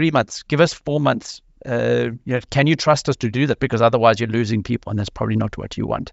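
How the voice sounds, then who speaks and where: A man speaks at a medium pitch with ordinary pitch variation. There is vocal fry in his voice. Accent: South African. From South Africa. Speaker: scrum master. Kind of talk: panel discussion. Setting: video call.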